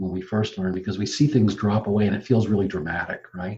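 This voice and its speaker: A man speaks at a fairly low pitch. His tone is dark and mellow, and somewhat breathy. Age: 70s. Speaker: spiritual teacher. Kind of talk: casual chat.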